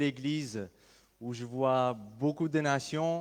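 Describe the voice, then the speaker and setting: The speaker is a man with an Armenian accent. His intonation stays fairly even. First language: Armenian (speaking French). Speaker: pastor. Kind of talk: sermon. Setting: church. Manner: halting.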